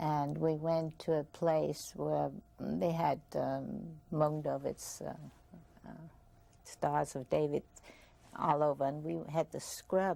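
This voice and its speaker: A woman with an Austrian accent at a very slow pace, with long, frequent pauses. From Vienna, Austria. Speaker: Holocaust survivor. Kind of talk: testimony interview. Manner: halting.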